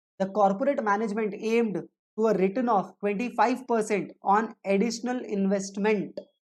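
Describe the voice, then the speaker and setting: Spoken with an Indian accent, the delivery moves at a moderate pace with fairly even intonation. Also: woman. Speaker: teacher. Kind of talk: lecture. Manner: rhetorical questions, repeating.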